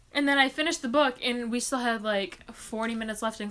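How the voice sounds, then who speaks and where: Very fast speech comes from a woman with a fairly high voice. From US Midwest, Michigan. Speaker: booktuber. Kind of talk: live Q&A chat. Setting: live stream. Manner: casual, chatty.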